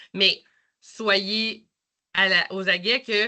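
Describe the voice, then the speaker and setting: A bright, sharp tone over a quiet background. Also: woman. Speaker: nurse manager. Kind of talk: work presentation.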